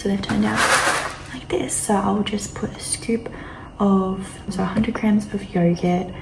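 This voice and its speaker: A woman whispers with an Australian accent. Background noise is noticeable, and room echo can be heard. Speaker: fitness vlogger. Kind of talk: casual vlog narration. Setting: at home, early morning. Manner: whispering.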